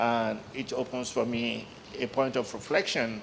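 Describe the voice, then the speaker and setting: A man of medium pitch speaks at a fairly slow pace. Background noise is noticeable. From Nigeria, Lagos. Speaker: journalist. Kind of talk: panel discussion.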